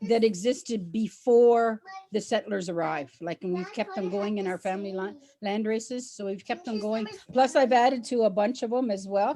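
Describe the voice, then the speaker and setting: A woman talks at a moderate pace in an ordinary speaking voice with a fairly high pitch. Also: ordinary pitch variation. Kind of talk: casual chat.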